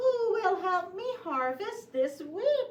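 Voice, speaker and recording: A female-sounding, cartoonish character voice squeaks at an extremely high pitch. It moves at a very slow pace with very wide pitch swings. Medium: puppet show. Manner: cheerful, clear, storytelling for preschoolers.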